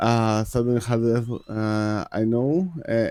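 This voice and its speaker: Heard on a very clean recording with a silent background, the voice has a Greek accent and a dark, mellow tone. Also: man. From Greece. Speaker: video game streamer. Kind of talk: live game stream commentary. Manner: halting, many fillers.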